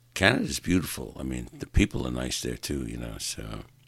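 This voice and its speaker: A man with vocal fry and a New York accent. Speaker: podcast host. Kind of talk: solo rant monologue. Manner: animated.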